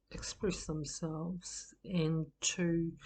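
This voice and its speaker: This woman's voice sits fairly low and sounds somewhat breathy. The background is quiet. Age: 60s. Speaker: group facilitation trainer. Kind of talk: personal introduction talk. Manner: hesitant, many fillers.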